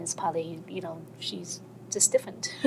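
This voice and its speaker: A woman with a non-native accent speaks at a fairly quick pace over noticeable background noise. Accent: non-native accent, still present. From China and American Samoa. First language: Chinese. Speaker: workshop participant. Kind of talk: personal testimony in group workshop.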